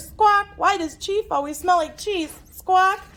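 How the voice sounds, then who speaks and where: An extremely high, put-on character voice from a woman, fairly slow in pace. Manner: squawking.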